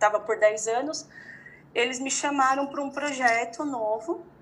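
In an ordinary speaking voice, a woman talks at a moderate speed with ordinary pitch variation. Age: 30s. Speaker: entrepreneur. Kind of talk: interview.

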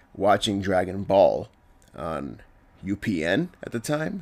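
A man speaks in an animated tone. The recording is very clean, with a silent background. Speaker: film reviewer. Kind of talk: solo video review, casual. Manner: casual, animated.

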